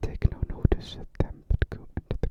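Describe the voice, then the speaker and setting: Over noticeable background noise, a man whispers in a soothing tone at a fairly slow pace. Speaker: ASMR storyteller. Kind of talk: bedtime fairy tale reading. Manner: whispered; soft, soothing.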